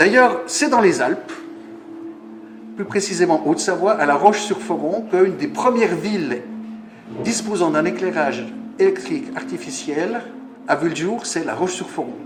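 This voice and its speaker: A high-pitched man's voice at a moderate pace, with very wide pitch swings, long, frequent pauses, audible room echo and noticeable background noise. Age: 60s. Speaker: conference speaker. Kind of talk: lecture. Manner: halting.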